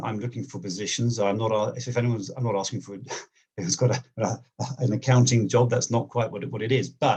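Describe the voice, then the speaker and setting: Somewhat breathy delivery at a fairly quick pace with fairly even intonation. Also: man. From England, near London. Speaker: job seeker, accountant. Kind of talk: interview on video call. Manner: fast; halting, many fillers and repeats.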